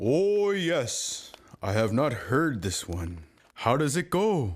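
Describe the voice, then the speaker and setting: A man's cartoonish character voice, very slow, with very wide pitch swings. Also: fairly high pitch for a man. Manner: unhurried, warmly authoritative.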